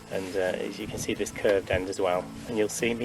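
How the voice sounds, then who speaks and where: A man talks fairly quickly while music plays in the background. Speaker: beekeeper and community group volunteer. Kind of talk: tutorial. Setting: outdoors. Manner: soft-spoken.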